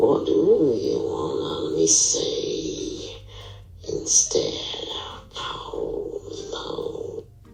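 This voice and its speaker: The speaker uses a put-on character voice at a very slow pace, with long, frequent pauses. A slight echo is audible. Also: man, extremely high pitch for a man. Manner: demonic.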